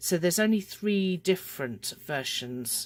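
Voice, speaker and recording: With a British accent, the speaker talks at a fairly slow pace. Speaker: crochet designer and tutor. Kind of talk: tutorial.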